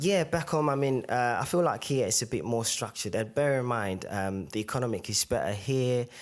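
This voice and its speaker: With hardly any pauses, a man speaks at a fairly quick pace and a medium pitch, using lively intonation and a Zimbabwean accent. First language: Shona. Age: young. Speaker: podcast guest. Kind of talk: casual interview. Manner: hesitant, many fillers.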